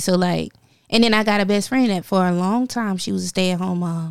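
Heard in a very clean recording with a silent background, a woman has an ordinary speaking voice at medium pitch. Her intonation is fairly even and her pace fairly quick. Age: 30s. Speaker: podcast host. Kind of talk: casual chat.

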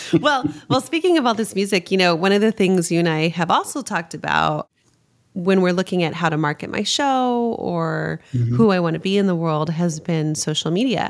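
A woman speaks in a plain, everyday voice, fairly low in pitch. Her intonation is lively and her pace fairly quick. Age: 40s. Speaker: podcast host and leadership coach. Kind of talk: casual interview.

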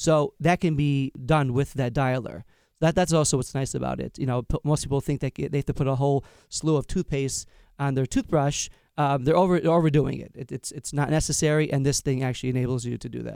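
A man's dark, mellow, fairly high voice with an American accent, fairly quick and fairly even in intonation, on a dry, close, echo-free and very clean recording with a silent background. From Long Island, New York. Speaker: inventor and parent. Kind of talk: business pitch. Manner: halting with fillers.

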